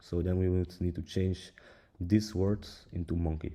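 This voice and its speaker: A man's very deep, low voice with a non-native accent, dark and mellow in tone, at a fairly slow pace. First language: not English. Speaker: tech tutorial creator. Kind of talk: tutorial. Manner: halting, many fillers.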